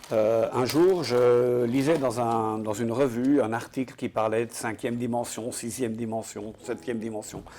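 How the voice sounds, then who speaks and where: Noticeable background noise runs behind the speech. A man talks at a fairly slow pace. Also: medium pitch for a man, fairly even intonation, hardly any pauses. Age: 60s. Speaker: entrepreneur, game inventor. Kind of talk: interview.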